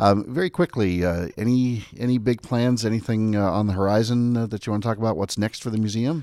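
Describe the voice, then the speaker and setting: Talking at a fairly quick pace with hardly any pauses, a man uses a normal speaking voice, fairly low in pitch with ordinary pitch variation. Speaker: podcast host and magazine editor. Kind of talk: casual chat, interview. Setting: studio.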